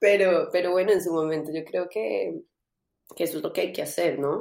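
The audio is very clean, and the background is silent. A woman speaks at a fairly quick pace. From Colombia. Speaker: singer-songwriter. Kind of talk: interview.

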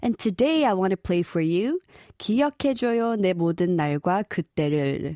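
A woman with a Korean accent speaks at a moderate pace in a fairly low pitch, with a dark, mellow tone and lively intonation. The recording is very clean, with a silent background, and the sound is dry and close with no echo. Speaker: radio DJ. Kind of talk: radio show presenting.

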